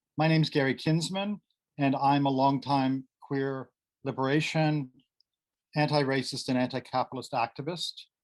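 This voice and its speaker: Over a quiet background, a man with a Canadian accent speaks at a moderate pace in a fairly high pitch with fairly even intonation, in an unremarkable speaking voice. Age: 60s. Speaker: activist and academic presenter. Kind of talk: conference presentation.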